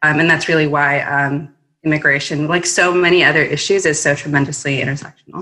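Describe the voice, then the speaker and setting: At a fairly quick pace, a woman speaks in a very deep, low pitch with flat, monotone intonation. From Mexico. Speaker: immigration attorney. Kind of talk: panel discussion on policy. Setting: remote call.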